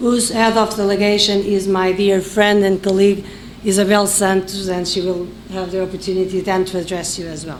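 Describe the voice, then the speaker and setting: A woman speaks at a medium pitch with a non-native accent and a fairly quick pace. Audible room echo and noticeable background noise fill the recording. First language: non-English. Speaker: election observation mission head. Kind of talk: press conference statement. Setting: press conference, live streamed. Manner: halting, with fillers; formal.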